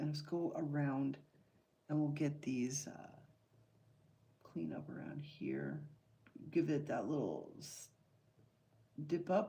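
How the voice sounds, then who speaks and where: A soft-spoken woman talks very slowly in a very deep, low pitch. Her voice has vocal fry and a dark, mellow tone. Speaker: artist livestreamer. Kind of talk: live painting stream commentary.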